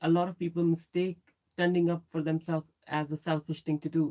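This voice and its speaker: Dry and close with no echo, a woman's dark, mellow voice sits fairly low and moves at a fairly quick pace. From Pakistan. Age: 30s. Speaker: YouTuber. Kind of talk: live stream chat. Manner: casual.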